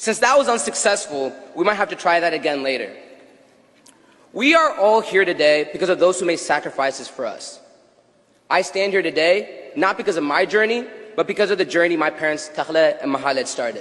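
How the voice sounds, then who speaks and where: This man's voice is high-pitched, with lively intonation and an animated tone. He talks at a fairly quick pace. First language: Tigrinya. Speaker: graduating student speaker. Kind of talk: graduation speech. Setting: stage with audience.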